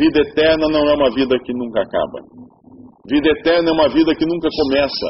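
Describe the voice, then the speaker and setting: The man's speech is fairly quick and his pitch fairly high. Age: 50s. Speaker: preacher. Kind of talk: sermon. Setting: church.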